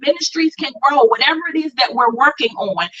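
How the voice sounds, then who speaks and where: A woman's raised, projected voice, high-pitched, with a bright, sharp tone and lively intonation. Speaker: brand coach, co-host of live class. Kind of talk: live online class talk, personal testimony.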